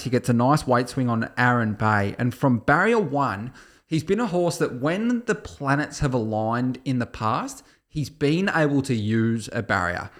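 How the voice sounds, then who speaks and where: A man with an Australian accent speaks at a fairly slow pace in a medium pitch, his intonation lively, on a very clean recording with a silent background. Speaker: horse racing tipster podcast co-host. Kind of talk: casual chat. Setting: studio.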